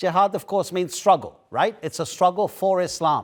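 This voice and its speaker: A man speaks with a British accent on a very clean recording with a silent background. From UK. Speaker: news anchor. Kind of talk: news interview.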